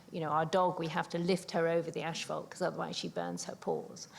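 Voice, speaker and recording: With a British accent, a woman speaks at a fairly low pitch. Vocal fry runs through her voice. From UK. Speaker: older adult co-researcher, panelist. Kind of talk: panel talk. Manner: halting, many fillers.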